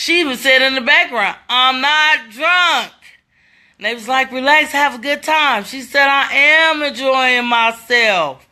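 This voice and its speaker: The voice is raised and projected, with a bright, sharp, animated tone. Pitch varies in an ordinary way, and the pace is fairly slow. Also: woman, high pitch for a woman. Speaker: social media commentator. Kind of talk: casual livestream commentary. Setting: Facebook live stream at home. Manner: loud.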